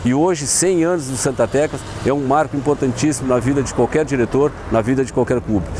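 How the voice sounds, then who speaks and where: Noticeable background noise sits behind a man who speaks at a fairly quick pace in a medium pitch with ordinary pitch variation. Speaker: former amateur footballer. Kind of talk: testimony.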